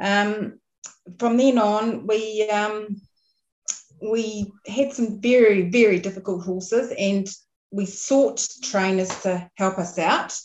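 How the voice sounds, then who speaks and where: A woman with a New Zealand accent speaks at a medium pitch. Her pace is very slow and her intonation fairly even. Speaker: dressage rider and farmer. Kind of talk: casual chat.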